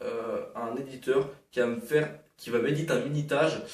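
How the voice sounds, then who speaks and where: A man talks in a fairly high pitch. Audible room echo surrounds his voice. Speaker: gaming YouTuber. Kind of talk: casual channel update vlog. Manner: fast; hesitant, many fillers.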